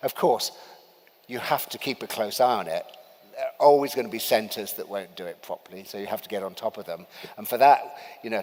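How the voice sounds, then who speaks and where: A man with a British accent at medium pitch, fairly quick, against noticeable background noise. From UK. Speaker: vaccine researcher speaking at a medical summit. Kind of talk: conference talk. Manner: hesitant, many fillers.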